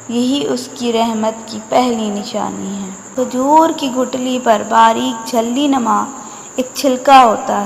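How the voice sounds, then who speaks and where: Noticeable background noise sits behind the speaker. A woman talks at a high pitch with fairly even intonation. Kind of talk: religious quotes reading.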